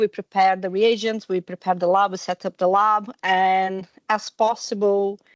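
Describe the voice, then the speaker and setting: Her voice sits at a medium pitch for a woman. She talks at a moderate pace. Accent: Portuguese. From Brazil. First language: Portuguese. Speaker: university teaching technician. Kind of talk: podcast interview. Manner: casual, with hesitations.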